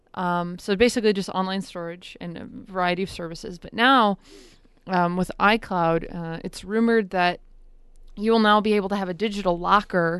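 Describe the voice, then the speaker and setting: Against a quiet background, a woman with an ordinary speaking voice and medium pitch talks at a fairly quick pace with fairly even intonation. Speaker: radio co-host reading news. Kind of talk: casual radio chat.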